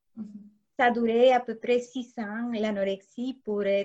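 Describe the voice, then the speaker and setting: A woman with a Spanish accent talks at a very slow pace in a dark, mellow tone with fairly high pitch. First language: Spanish (speaking French). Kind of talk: interview.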